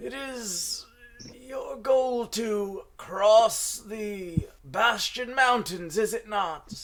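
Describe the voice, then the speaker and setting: A man does a put-on character voice with a high pitch. He speaks at a very slow pace. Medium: actual play. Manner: grandiose, forgetful, irritable.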